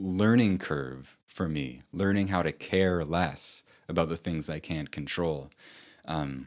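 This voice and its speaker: A man with a very deep, low pitch speaks at a very slow pace with ordinary pitch variation on a very clean recording with a silent background. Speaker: author and online content creator. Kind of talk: reflective monologue. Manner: casual, with fillers.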